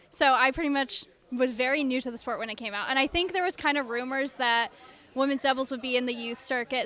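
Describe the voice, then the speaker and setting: A raised, projected voice with a bright, sharp tone carries fairly even intonation. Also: woman. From US Northeast, central New York. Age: 20s. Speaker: luge athlete. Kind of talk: interview.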